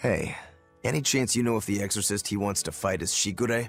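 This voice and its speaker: Over faint background music, a man puts on a raspy character voice, fairly low in pitch and delivered at a fairly quick pace. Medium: video game.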